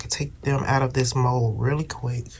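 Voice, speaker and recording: The speech runs at a moderate pace. Noticeable background noise can be heard. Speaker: crafting YouTuber. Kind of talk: tutorial. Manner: soft-spoken; casual, chatty.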